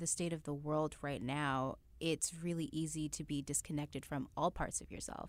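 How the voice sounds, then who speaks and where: On a very clean recording with a silent background, a woman speaks at a moderate pace in a very deep, low pitch with ordinary pitch variation. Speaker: freelance artist and model. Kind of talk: casual chat.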